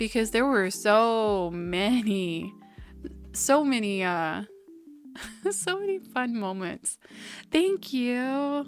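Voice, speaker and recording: Music plays in the background. A woman speaks at a very slow pace with lively intonation. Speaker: streamer. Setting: home microphone, volume boosted.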